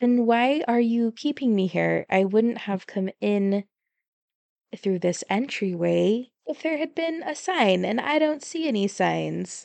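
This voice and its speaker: Using a put-on character voice, a woman growls at a fairly high pitch with lively intonation and a fairly slow pace. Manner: snarling, annoyed; toned down from the snarl in the original exchange.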